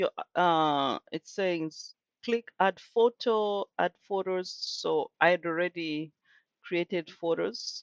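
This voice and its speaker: A woman speaks with a Kenyan accent at a fairly low pitch, with ordinary pitch variation. The sound is dry and close, with no echo. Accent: Kenyan accent, speaks British English. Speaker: content creator. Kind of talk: tutorial. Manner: casual, hesitant with fillers.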